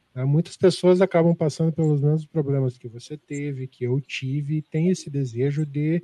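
A man's fairly high, somewhat breathy voice with a dark, mellow tone, ordinary pitch variation and a moderate pace, in a southern Brazilian accent, with a dry, close sound and no echo. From southern Brazil, Curitiba. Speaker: podcast co-host and runner. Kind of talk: interview.

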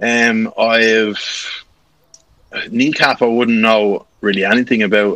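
A man with a Dublin accent, medium-pitched, at a very slow pace. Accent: Irish, near-Dublin. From Ashbourne, Co. Meath, Ireland. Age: 20s. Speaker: content creator. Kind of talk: casual interview chat.

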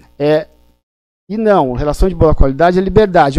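Against music in the background, a man with a fairly high pitch speaks at a moderate pace with ordinary pitch variation. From São Paulo, raised by migrants from Pernambuco. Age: 50s. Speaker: family lawyer. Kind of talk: live-stream interview.

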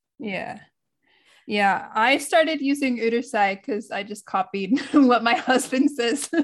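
A woman with an American accent, high in pitch, at a fairly slow pace, with big swings in loudness. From United States. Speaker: podcast co-host. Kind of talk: casual chat. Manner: laughs often.

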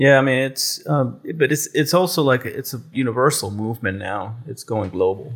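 On a very clean recording with a silent background, a man at a medium pitch talks at a moderate pace, somewhat breathy, with lively intonation. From Puerto Rico. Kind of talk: casual chat.

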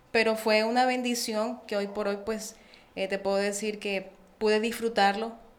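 In a Colombian accent, a woman with a fairly high pitch speaks with monotone, flat intonation. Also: fairly slow pace. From Colombia, Barranquilla (Caribbean coast). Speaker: preschool educator. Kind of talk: casual chat.

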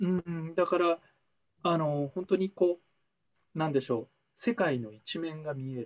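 A man's high-pitched voice at a fairly slow pace, with ordinary pitch variation and long, frequent pauses. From Taiwan. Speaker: former trading company employee. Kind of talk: casual chat.

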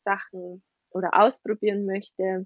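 Recorded with a dry, close sound with no echo and a quiet background, a woman speaks with a slight Bavarian accent. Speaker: ayurveda nutrition and health coach in training. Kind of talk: podcast interview.

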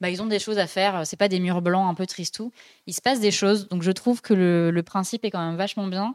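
A woman speaks very fast at a medium pitch with fairly even intonation. The sound is dry and close with no echo, in a very clean recording with a silent background. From France, Dijon. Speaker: podcast host and graphic designer. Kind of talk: casual chat. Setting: live-streamed studio show.

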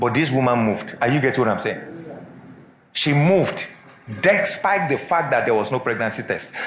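A man's fairly quick speech is heard with noticeable background noise. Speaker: preacher. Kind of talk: sermon. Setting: church with congregation. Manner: animated, call-and-response, rhetorical questions to congregation; emphatic, rallying, exhorting.

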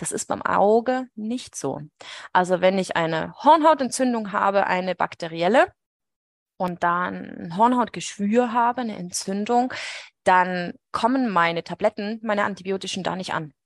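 A woman with an unremarkable speaking voice talks at a fairly slow pace in a medium pitch with lively intonation, sounding dry and close with no echo over a quiet background. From Switzerland, Swiss Alps. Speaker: veterinary ophthalmologist. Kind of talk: casual interview chat.

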